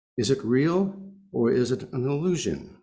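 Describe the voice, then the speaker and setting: Audible room echo surrounds a man speaking at a medium pitch with very wide pitch swings. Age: 70s. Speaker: lay speaker at congregation service. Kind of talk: sermon.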